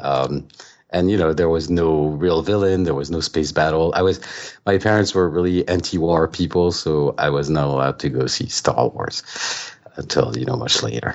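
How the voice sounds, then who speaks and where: A man with a French accent talks at a moderate pace in a very deep, low pitch with ordinary pitch variation. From France. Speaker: author. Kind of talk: interview.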